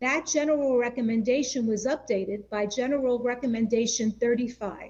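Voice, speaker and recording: The voice has a dark, mellow tone and a New York accent. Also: woman. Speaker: panel moderator. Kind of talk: formal panel discussion.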